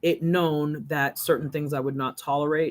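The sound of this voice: A woman with an extremely low pitch speaks in a fairly bright tone and fairly even intonation.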